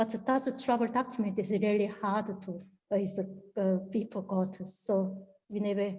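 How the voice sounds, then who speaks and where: A woman with a strong Korean accent speaks at a medium pitch and a fairly slow pace. Her tone is dark, mellow and somewhat breathy, with monotone, flat intonation. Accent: strong Korean accent, non-native English. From North Korea. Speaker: North Korean defector. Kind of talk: interview answer.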